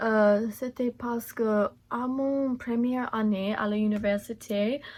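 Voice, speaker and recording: A woman with a strong English accent speaks at a fairly high pitch. She talks very slowly in a flat monotone. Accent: non-native French, strong English. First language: English (speaking French). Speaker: beauty vlogger. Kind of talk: makeup tutorial. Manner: halting, many hesitations.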